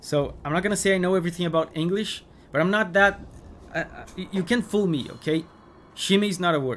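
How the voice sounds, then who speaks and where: Over light background noise, a man with a high pitch and a non-native accent talks at a very fast pace with ordinary pitch variation. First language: not English. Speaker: gaming streamer. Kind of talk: live gameplay stream commentary. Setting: live stream. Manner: animated. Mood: playful, joking.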